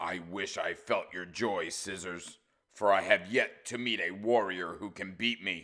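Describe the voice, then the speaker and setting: This is a put-on character voice with a growling quality. It moves at a moderate pace with fairly even intonation. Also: man, fairly low pitch for a man. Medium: read story.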